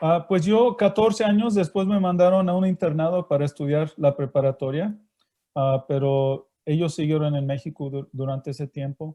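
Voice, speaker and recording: A fairly high-pitched man with a Mexican accent, ordinary pitch variation and a moderate pace. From Mexico. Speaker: missionary. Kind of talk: interview. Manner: halting.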